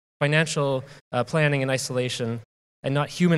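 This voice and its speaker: Speech at a fairly quick pace with fairly even intonation. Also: man. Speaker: conference speaker. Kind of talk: conference talk. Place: hall. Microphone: handheld.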